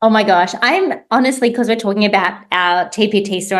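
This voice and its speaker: A woman speaks with an Australian accent. Her voice sits at a medium pitch. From Australia, Sydney. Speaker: teacher and online resource seller. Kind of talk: interview.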